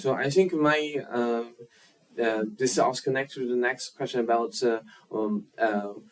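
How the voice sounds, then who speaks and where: Speaking with a Chinese accent, a man uses a medium pitch and ordinary pitch variation, broken by long, frequent pauses. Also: moderate pace. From China. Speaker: filmmaker. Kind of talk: interview. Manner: halting, many fillers.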